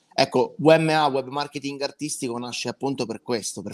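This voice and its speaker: A man's fairly quick delivery with fairly even intonation against a quiet background. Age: 20s. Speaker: web marketing consultant, former musical performer; guest. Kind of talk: interview, pitch. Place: home room.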